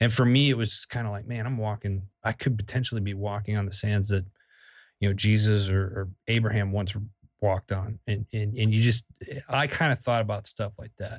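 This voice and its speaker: A man with an American accent talks at a fairly quick pace in a somewhat breathy, fairly low voice. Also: fairly even intonation. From Wisconsin, US Midwest. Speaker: army veteran, media company founder. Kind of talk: interview.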